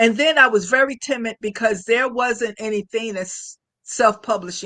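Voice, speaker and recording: A bright, sharp tone at a moderate pace, with ordinary pitch variation and a dry, close sound free of echo. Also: woman, fairly high pitch for a woman. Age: 60s. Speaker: author and military retiree. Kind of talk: interview. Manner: halting.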